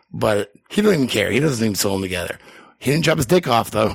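Speaking with an American accent, a man uses a medium pitch and lively intonation. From New England, US. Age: 40s. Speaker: podcast guest. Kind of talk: casual chat. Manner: rambling, profane.

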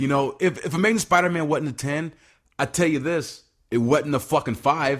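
Using a plain, everyday voice, a man talks at a fairly high pitch and a moderate pace with ordinary pitch variation. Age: 30s. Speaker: podcast co-host. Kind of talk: casual chat.

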